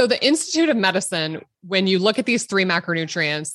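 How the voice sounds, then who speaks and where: The woman has a Midwestern US accent and a medium-pitched voice. The background is quiet. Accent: US Midwest. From Nebraska. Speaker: obstetrician-gynecologist. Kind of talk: interview.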